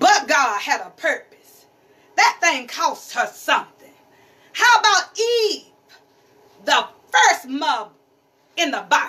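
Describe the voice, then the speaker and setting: With an extremely high pitch and very wide pitch swings, a woman uses a raised, projected voice at a very slow pace with long, frequent pauses. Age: 50s. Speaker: pastor's wife and preacher; pastor's wife, preacher. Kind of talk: sermon. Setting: church. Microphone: phone near.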